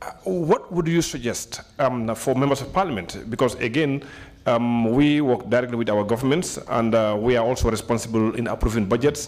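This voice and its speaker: Over noticeable background noise, a man at medium pitch talks at a fairly quick pace with ordinary pitch variation. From Gambia. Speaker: member of parliament. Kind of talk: question at a seminar. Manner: halting, many fillers.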